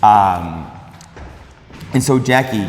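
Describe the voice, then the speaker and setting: The pitch swings very widely throughout. Audible room echo and noticeable background noise are present. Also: man. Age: 50s. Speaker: fitness video host. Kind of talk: casual interview.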